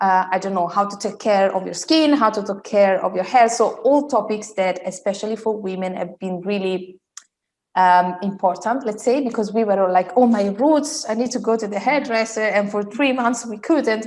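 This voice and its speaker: A woman with an Italian accent speaks at a moderate pace, her fairly high pitch showing ordinary variation. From Italy. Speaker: style coach. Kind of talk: interview.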